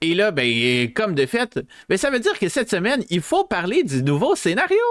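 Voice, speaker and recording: A man with a Quebec accent speaks in a high voice with very wide pitch swings. His loudness stays very even. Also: moderate pace. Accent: Québécois. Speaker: VTuber streamer. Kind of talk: live stream chat. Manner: hesitant, many fillers.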